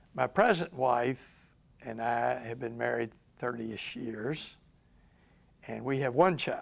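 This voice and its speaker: With a Memphis accent, a man talks at a fairly slow pace in a medium pitch with ordinary pitch variation, vocal fry, and long, frequent pauses. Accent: Southern US (Memphis, Tennessee). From US South. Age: 70s. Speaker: lawyer. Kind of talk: oral history interview. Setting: recorded interview in Memphis. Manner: halting.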